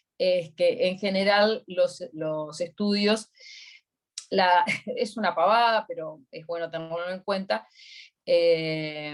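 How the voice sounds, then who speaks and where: A woman with a Uruguayan accent speaks in a fairly low pitch, with ordinary pitch variation. Her pace is very slow, with long, frequent pauses. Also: big swings in loudness. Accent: Uruguayan Spanish (rioplatense). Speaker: accountant giving a workshop. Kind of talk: online workshop Q&A.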